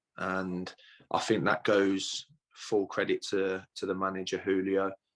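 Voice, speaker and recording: The man's pitch is fairly low and his intonation monotone and flat. He keeps a fairly slow pace. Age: 30s. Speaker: footballer. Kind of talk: interview. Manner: hesitant, many fillers.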